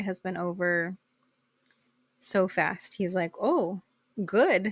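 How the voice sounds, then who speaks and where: A woman with an American accent at a very slow pace, in a very clean recording with a silent background and a dry, close sound with no echo. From US-Mexico border area near Mexicali (Imperial Valley, California). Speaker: podcast host. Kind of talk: casual chat. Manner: animated.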